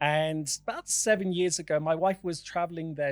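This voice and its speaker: A man with a British accent at a fairly high pitch and a moderate pace, his intonation fairly even. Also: very clean recording, silent background. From United Kingdom. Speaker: charity founder. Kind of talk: interview podcast. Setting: studio.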